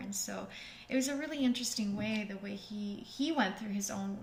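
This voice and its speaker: With noticeable background noise and audible room echo, a woman speaks fairly quickly at a medium pitch. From Russian-speaking family, learned English at ten. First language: Russian. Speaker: yoga instructor and channel co-host. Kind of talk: casual live stream Q&A chat. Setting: live stream studio.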